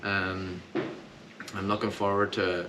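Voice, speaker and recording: Noticeable background noise and audible room echo surround a man's voice. His pitch is very deep and low, with flat, monotone intonation. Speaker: country singer. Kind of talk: casual interview. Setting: hotel after a gig.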